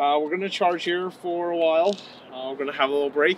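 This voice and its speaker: With light noise behind him, a man speaks in fairly even intonation, the sound dry and free of echo. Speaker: EV road trip vlogger. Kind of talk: casual vlog chat. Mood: relaxed, cheerful. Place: open country. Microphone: camera far.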